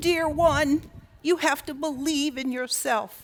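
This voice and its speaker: On a very clean recording with a silent background, a woman uses a high-pitched put-on character voice at a fairly slow pace. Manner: gentle, kindly.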